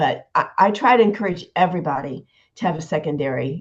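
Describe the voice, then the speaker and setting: Somewhat breathy and fairly low in pitch, a woman speaks with lively intonation against a quiet background. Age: 70s. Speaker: nurse. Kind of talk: casual chat.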